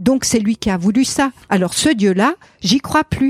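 A woman's dark, mellow tone, very clean recording with a silent background, dry and close with no echo. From Alsace, France. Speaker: pastor. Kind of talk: interview conversation. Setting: outdoors on garden terrace.

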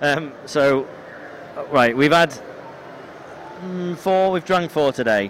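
A man with a fairly high voice talks very slowly, with ordinary pitch variation and long, frequent pauses, over noticeable background noise. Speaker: podcast host. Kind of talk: casual chat.

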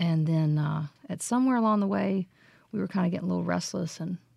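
A woman with a Southern US accent talks at a fairly quick pace, her fairly low pitch carrying a dark, mellow tone, lively intonation, and a somewhat breathy edge. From Mississippi, Jackson. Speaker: singer-songwriter. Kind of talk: casual interview chat.

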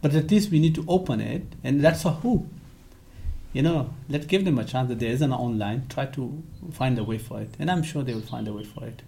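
With a dark, mellow tone and vocal fry, a man talks at a fairly quick pace and fairly high pitch, using lively intonation and big swings in loudness. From Afghanistan. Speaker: education rights advocate. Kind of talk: interview.

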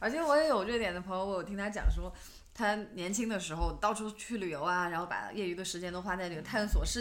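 There is audible room echo around a woman's medium-pitched voice. She speaks at a very fast pace with lively intonation. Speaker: podcast co-host. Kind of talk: casual chat.

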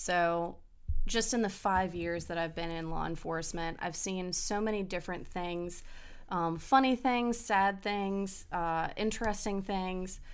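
Over audible room echo, a woman with an American accent speaks fairly slowly at a medium pitch with ordinary pitch variation. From Hampton Roads, Virginia (military family). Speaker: law enforcement officer. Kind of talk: casual chat.

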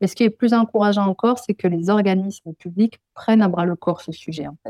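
With a southwestern French accent, a woman of medium pitch speaks fairly quickly with hardly any pauses, a dark, mellow tone, ordinary pitch variation and big swings in loudness, in a dry, close sound with no echo. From southwest France, Pyrenees. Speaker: ecologist. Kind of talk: interview.

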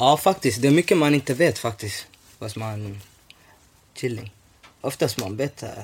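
A man of medium pitch talks at a moderate pace with lively intonation, big swings in loudness, and long, frequent pauses. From Somalia (north), moved to Sweden as a child. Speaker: podcast host. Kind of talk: casual chat. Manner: animated.

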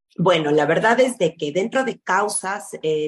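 Using an ordinary speaking voice, a woman at medium pitch talks with lively intonation at a moderate pace. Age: 30s. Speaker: pediatric endocrinologist. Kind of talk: interview.

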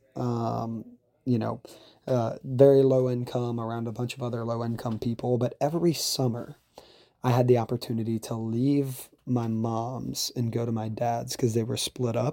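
With a Louisiana accent, a man speaks in a dark, mellow, medium-pitched tone at a moderate pace with monotone, flat intonation. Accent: Louisiana Southern US. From Louisiana, Baton Rouge. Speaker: salesperson and military member. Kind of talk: recorded personal testimony. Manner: hesitant, filler-heavy.

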